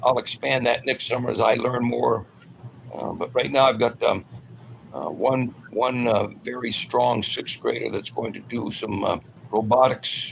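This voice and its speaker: A man speaks at a fairly slow pace in a medium pitch, his intonation monotone and flat. Background noise is noticeable. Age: 80s+. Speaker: elementary school teacher. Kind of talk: panel discussion.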